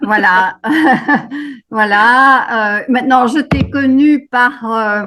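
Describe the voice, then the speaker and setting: Ordinary pitch variation in a woman's fairly high-pitched speech. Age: 80s+. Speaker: workshop participant. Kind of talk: introduction in a group video call. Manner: halting, many fillers.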